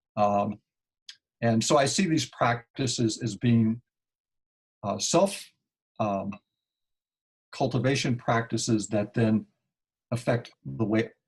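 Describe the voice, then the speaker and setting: Speaking very slowly with long, frequent pauses, a man with an American accent uses a medium pitch, ordinary pitch variation and a somewhat breathy voice. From Kansas, US Midwest. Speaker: climate activist. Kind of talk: Q&A on a conference call. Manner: halting, many fillers.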